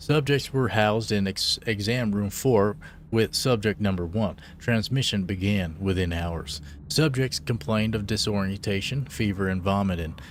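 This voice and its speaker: A man speaks at a moderate pace. His voice is fairly low, with ordinary pitch variation. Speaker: gaming streamer. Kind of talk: reading aloud in-game documents during a game livestream. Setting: livestream. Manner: halting, stumbling over words while reading.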